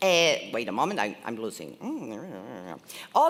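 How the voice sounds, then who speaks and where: A woman with a non-native accent, against noticeable background noise. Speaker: event presenter. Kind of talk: event hosting. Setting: stage with audience. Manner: animated.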